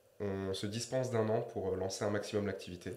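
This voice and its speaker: A man's fairly quick speech with ordinary pitch variation and audible room echo. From southern France, Marseille. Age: 20s. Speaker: digital marketing entrepreneur. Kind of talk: interview. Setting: podcast studio.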